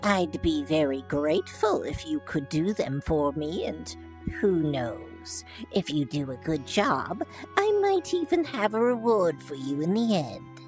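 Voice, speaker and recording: With clear music behind it, a put-on character voice at middle pitch speaks at a fairly slow pace. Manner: frail, asking a favor sweetly.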